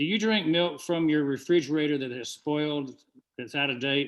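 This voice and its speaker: A man with fairly high pitch and fairly even intonation. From US South, Georgia. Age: 70s. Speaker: webinar presenter. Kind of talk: business presentation.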